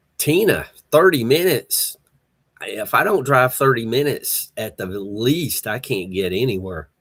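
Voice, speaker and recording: Speaking in a Southern US accent, this voice moves at a fairly slow pace with a relaxed tone. The pitch swings very widely. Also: man, medium pitch for a man. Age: 60s. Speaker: livestream host. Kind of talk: casual chat. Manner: relaxed, halting with fillers.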